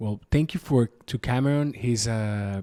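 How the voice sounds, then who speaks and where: With a Spanish accent, a man speaks at a medium pitch and moderate pace, his dark, mellow tone and fairly even intonation captured in a dry, close sound with no echo. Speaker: podcast host. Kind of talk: podcast introduction. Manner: halting.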